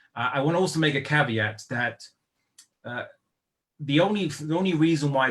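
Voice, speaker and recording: Speaking at a moderate pace with a British accent, the man sounds somewhat breathy and uses ordinary pitch variation. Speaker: Islamic lecturer. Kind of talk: online lecture. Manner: hesitant, many fillers and restarts.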